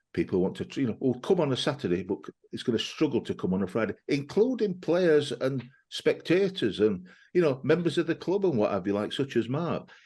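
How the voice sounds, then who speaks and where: Fairly high for a man, the voice has a dark, mellow tone, very wide pitch swings and vocal fry. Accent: Yorkshire. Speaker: football podcast host. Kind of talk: casual chat. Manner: halting.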